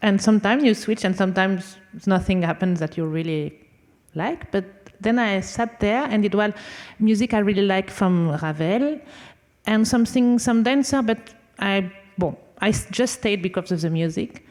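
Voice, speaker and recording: A woman with a French accent at a moderate pace, medium in pitch, with ordinary pitch variation. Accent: French accent, non-fluent English. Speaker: conductor and violinist. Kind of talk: panel talk. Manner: halting.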